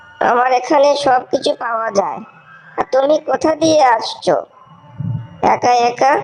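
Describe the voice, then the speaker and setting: Speaking fairly slowly, the voice is cartoonish, like a character's. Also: female-sounding voice, high pitch for a woman. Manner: soft, motherly.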